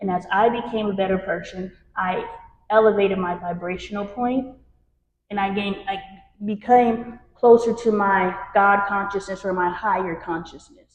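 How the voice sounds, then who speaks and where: At a moderate pace, a woman talks in a medium pitch with fairly even intonation and an ordinary speaking voice. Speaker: spiritual workshop leader. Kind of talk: workshop talk to a group. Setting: room with live audience.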